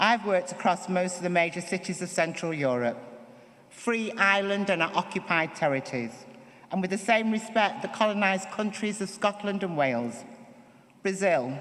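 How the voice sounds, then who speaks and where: The speech moves at a moderate pace in a Manchester accent. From northern England, Manchester. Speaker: performance poet. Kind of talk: acceptance speech. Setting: stage with audience. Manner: reading from notes.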